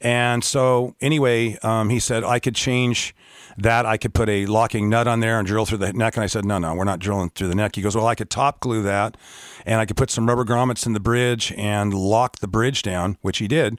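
A man's normal speaking voice at a medium pitch and moderate pace, fairly even in intonation, with a dry, close sound and no echo. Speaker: guitar dealer and guitarist. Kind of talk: casual interview chat.

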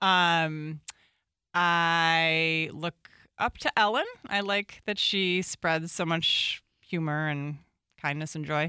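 Speaking at a very slow pace, a woman with a fairly low pitch has a bright, sharp tone and fairly even intonation on a very clean recording with a silent background. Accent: American. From northwest suburbs of Chicago, Illinois. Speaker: newspaper columnist. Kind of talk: casual interview.

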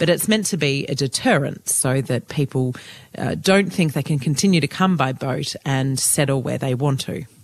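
Someone with an Australian accent speaks at a fairly quick pace with ordinary pitch variation. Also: woman, very deep, low pitch for a woman. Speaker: journalist and podcast co-host. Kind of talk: casual news chat.

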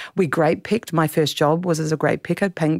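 A woman with an Australian accent speaks at a fairly quick pace, her pitch fairly low and its variation ordinary. The sound is dry and close with no echo, on a very clean recording with a silent background. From South Australia, Clare Valley. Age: 50s. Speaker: novelist. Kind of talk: interview.

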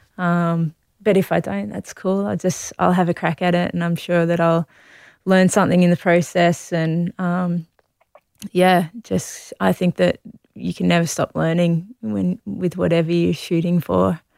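A woman with an Australian accent talks at a fairly slow pace in a fairly low pitch. The recording is very clean with a silent background, and the sound is dry and close with no echo. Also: ordinary pitch variation. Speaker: Olympic distance runner. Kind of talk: casual interview.

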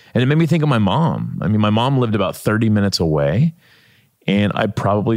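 The speech has lively intonation and comes with a Midwestern American accent. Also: man. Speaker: author and documentary maker. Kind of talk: podcast interview.

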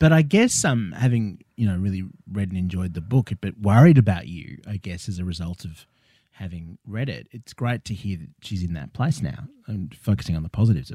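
A man with an Australian accent speaks at a fairly quick pace with lively intonation and big swings in loudness. His fairly low pitch carries a dark, mellow tone on a very clean recording with a silent background. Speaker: comedy podcast host. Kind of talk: comedic interview. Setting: studio.

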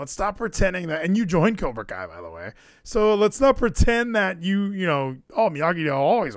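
An animated tone with lively intonation and big swings in loudness. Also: man, high pitch for a man, moderate pace. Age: 30s. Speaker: podcast host. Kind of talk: casual chat.

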